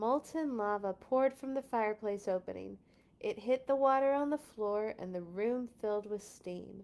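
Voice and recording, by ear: A natural voice reading aloud, with pitch that shifts in an ordinary way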